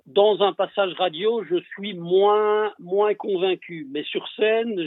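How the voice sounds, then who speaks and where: A man speaks at a very slow pace. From Belgium. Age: 50s. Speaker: longtime fan. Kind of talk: casual chat.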